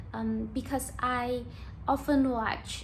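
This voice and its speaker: A woman speaks at a very slow pace with a Vietnamese accent. Audible room echo surrounds her voice. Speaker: YouTuber practicing English. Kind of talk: casual monologue to camera. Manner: halting, with fillers.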